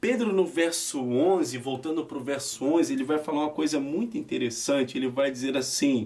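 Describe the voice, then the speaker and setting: This is an ordinary speaking voice. Its pitch varies in an ordinary way. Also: man. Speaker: preacher. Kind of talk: sermon.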